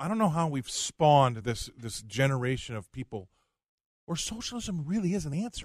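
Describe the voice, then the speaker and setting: A man with an American accent and a fairly high pitch speaks at a moderate pace, somewhat breathy, with very wide pitch swings. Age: 50s. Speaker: commodities trader and fill-in co-host. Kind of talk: talk radio.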